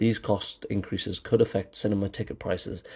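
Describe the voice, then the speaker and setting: Speaking very fast in a British accent, a man with a fairly low pitch sounds somewhat breathy, his tone dark and mellow and his intonation monotone and flat. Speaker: film commentary YouTuber. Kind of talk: scripted commentary monologue. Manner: hesitant, with fillers and repetitions.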